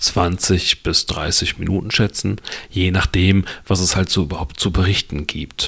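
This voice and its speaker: A man speaks with a very deep, low pitch. Noticeable background noise runs behind him. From western Germany, Lower Rhine / Ruhr area border. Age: 40s. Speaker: podcast host. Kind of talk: solo podcast monologue. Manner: casual, with filler words.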